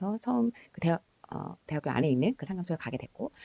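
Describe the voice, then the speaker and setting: In a dark, mellow tone with vocal fry, a woman talks at a very fast pace with very wide pitch swings, the sound dry and close with no echo. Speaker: school counselor. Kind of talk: personal storytelling. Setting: at home late at night.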